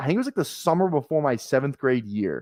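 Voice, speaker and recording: A man's very fast speech with lively intonation, dry and close with no echo, on a very clean recording with a silent background. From Minnesota. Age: 20s. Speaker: fantasy football streamer. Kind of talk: casual chat. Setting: live stream.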